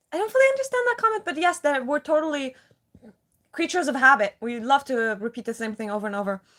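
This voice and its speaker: A woman talks very fast with a non-native accent. Her pitch is high. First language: not English. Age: 30s. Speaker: live streamer. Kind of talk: casual chat. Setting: livestream.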